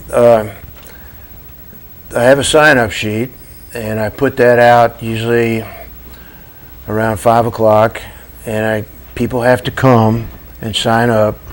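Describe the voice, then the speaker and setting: A man speaks at a very slow pace with long, frequent pauses over noticeable background noise. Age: 70s. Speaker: coffee shop owner. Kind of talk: TV interview. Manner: halting.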